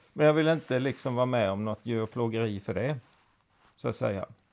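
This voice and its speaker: Speaking at a fairly quick pace, a man with an unremarkable speaking voice shows ordinary pitch variation. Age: 50s. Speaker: host's father. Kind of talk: casual chat.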